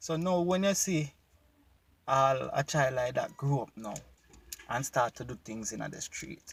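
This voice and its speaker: With a Jamaican accent, a man talks at a fairly slow pace with long, frequent pauses. His voice is fairly high in pitch, somewhat breathy and has ordinary pitch variation. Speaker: YouTube commentator. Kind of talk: casual reaction video talk to camera.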